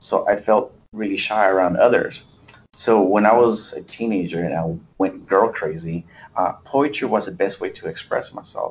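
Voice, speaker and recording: A man speaks with a Spanish accent. He keeps a moderate pace. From US, born in a Spanish-speaking country. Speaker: poet, interviewee. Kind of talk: interview. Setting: remote call from the US.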